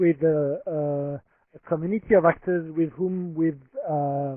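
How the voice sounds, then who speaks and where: At a fairly slow pace, a man with a French accent speaks at a high pitch with fairly even intonation. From France. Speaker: humanitarian protection expert. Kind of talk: presentation. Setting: webinar. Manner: halting.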